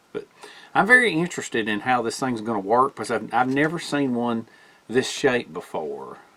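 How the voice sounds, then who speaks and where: A man's lively intonation comes through in a bright, sharp tone. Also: medium pitch for a man, moderate pace. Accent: Southern US. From US South. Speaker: bushcraft YouTuber. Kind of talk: casual gear review.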